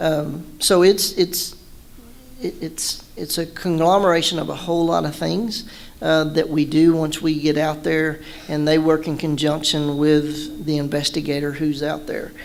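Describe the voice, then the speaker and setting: With an American accent, a man talks at a fairly slow pace in a fairly high pitch with fairly even intonation over noticeable background noise. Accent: Texan (joked as northern Yankee). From Southeast Texas (Beaumont). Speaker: law enforcement officer. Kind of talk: talk to an audience. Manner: casual, many false starts.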